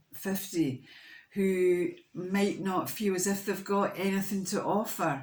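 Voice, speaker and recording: A woman talks very slowly, her voice carrying audible room echo. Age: 60s. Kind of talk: casual vlog talk. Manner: halting, many fillers and restarts.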